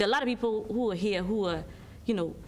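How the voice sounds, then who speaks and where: With an American accent, a woman is talking. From Ghana. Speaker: marketing consultancy director. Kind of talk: TV interview. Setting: TV studio.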